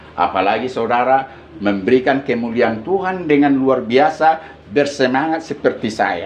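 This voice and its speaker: A man's medium-pitched voice with very wide pitch swings and a moderate pace, amid audible room echo and noticeable background noise. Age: 60s. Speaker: prison and police chaplain preacher. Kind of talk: sermon. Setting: worship service at a police station. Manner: animated.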